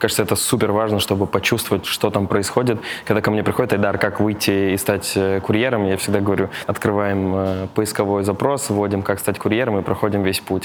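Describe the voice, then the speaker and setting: A man's fairly low-pitched voice at a fairly quick pace, with noticeable background noise. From Tatarstan, Russia. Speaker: operations executive. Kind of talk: casual interview.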